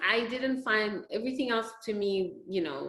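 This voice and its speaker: Fairly high in pitch, a woman speaks with a non-native accent. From Senegal, West Africa. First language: not English. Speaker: physician. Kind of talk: interview.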